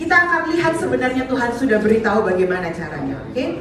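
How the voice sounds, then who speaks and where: A woman projects her high-pitched voice loudly with very wide pitch swings, amid audible room echo and noticeable background noise. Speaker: visiting preacher. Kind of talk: sermon. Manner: fast.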